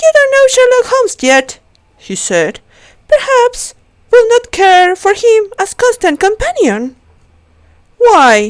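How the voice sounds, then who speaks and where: With a non-native accent, a woman speaks at a very slow pace in an extremely high voice, her pitch swinging very widely and her words broken by long, frequent pauses. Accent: non-native, weak pronunciation. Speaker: amateur audiobook reader. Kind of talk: reading aloud. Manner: halting, with self-corrections.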